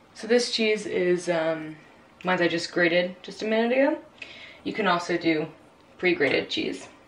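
Noticeable echo from the room and faint noise in the background can be heard. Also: woman. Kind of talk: tutorial. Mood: relaxed, cheerful. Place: kitchen.

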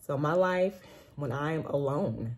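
This woman's voice sits very deep and low, somewhat breathy, with ordinary pitch variation. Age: 40s. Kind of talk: personal testimony monologue. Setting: recorded after a walk, solo video. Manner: casual, with frequent fillers and restarts. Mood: earnest, animated. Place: home room. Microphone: phone near.

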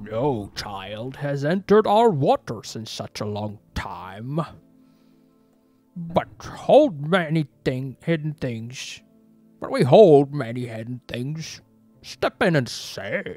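A put-on character voice in a low-to-middle pitch moves at a very slow pace. Faint music plays in the background. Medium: solo performance. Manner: seductive, ominous, slow.

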